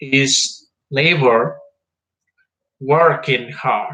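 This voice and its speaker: A man with a Spanish accent speaks in a fairly high pitch. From Mexico. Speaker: history vlogger. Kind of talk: informal history talk. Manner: halting, with fillers.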